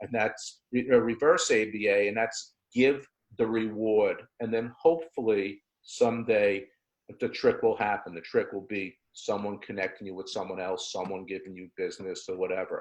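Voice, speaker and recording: A man with an ordinary speaking voice, fairly low in pitch, with ordinary pitch variation, a moderate pace and big swings in loudness. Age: 60s. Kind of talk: webinar discussion.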